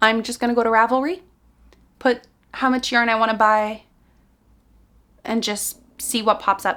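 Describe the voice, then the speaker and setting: Speaking at a moderate pace, a woman with a Quebec accent has a fairly high pitch. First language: French. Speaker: knitting content creator. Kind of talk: casual Q&A vlog. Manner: casual, conversational.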